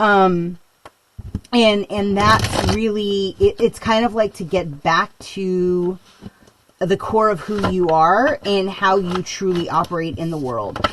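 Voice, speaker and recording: A woman talks at a very slow pace with a medium pitch. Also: ordinary pitch variation. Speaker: tarot reader. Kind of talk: tarot reading. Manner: loud; halting, many fillers.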